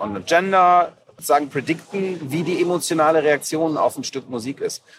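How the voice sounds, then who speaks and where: A man's fairly high voice with ordinary pitch variation, plus noticeable background noise. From Germany, Aachen. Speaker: podcast host. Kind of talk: casual interview. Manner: halting.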